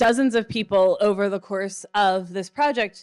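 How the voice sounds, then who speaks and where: This woman has an ordinary speaking voice. Her pitch variation is ordinary. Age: 30s. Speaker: conference producer, former local TV news producer. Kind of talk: conference talk. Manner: casual, with many fillers.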